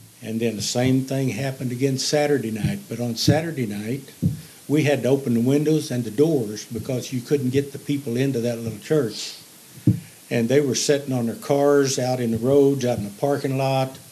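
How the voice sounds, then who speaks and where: With a Missouri accent, a man of medium pitch speaks at a moderate pace and fairly even intonation amid noticeable background noise. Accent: Southern Midland US (Missouri). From Missouri, southeast (Bloomfield). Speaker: retired grocery manager and gospel singer. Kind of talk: testimony. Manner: halting.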